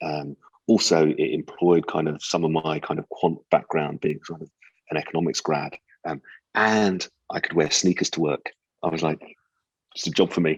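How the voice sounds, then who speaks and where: A man speaks with a British accent, his pitch very deep and low and his intonation fairly even. The pace is moderate with long, frequent pauses, and the sound is dry and close with no echo. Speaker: advertising strategy executive. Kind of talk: interview conversation. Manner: halting, many repeated words and fillers.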